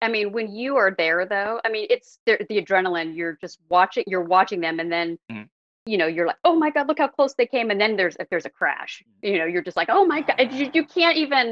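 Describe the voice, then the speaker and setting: Hardly pausing, a woman with an American accent talks at a fairly quick pace in a fairly high voice with very wide pitch swings. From Oregon, Portland area. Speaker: DNA sleuth. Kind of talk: interview.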